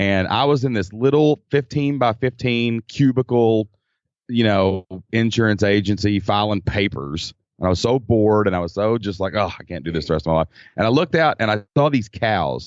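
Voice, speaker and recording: With a Kentucky accent, a man's fairly low voice moves at a moderate pace with lively intonation. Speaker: former teacher turned online entrepreneur. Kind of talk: casual interview chat.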